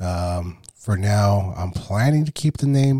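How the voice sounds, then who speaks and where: A somewhat breathy man speaks at a fairly low pitch in a dark, mellow tone, recorded very cleanly, dry and close with no echo against a silent background. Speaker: faith podcast host. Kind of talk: devotional podcast monologue. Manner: casual.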